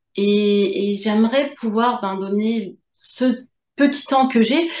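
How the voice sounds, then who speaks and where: Her fairly high pitch moves with ordinary variation as this woman speaks. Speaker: medium and author. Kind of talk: interview answer.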